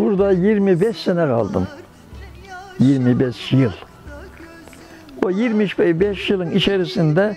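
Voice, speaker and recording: A man with a high voice speaks at a very slow pace with lively intonation, the sound dry with no echo and faint music in the background. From Karapınar, Konya, Turkey. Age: 80s+. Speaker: tailor. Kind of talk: interview answer. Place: home room. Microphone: lapel.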